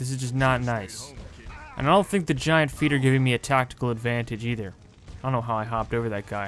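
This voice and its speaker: At a very fast pace, a man speaks in a medium pitch with ordinary pitch variation over noticeable background noise. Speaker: gaming YouTuber. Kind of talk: gameplay commentary.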